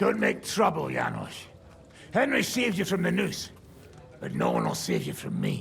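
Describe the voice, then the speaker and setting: A man puts on a gruff character voice at a moderate pace, with long, frequent pauses and clear background noise. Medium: video game. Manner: gruff, sardonic.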